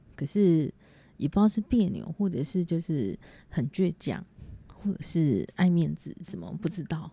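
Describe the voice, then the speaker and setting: Speaking in a Taiwanese accent, a woman with a fairly low pitch, a dark, mellow tone and vocal fry shows ordinary pitch variation. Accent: Taiwanese Mandarin. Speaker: podcaster. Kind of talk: solo casual monologue. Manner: halting with many fillers.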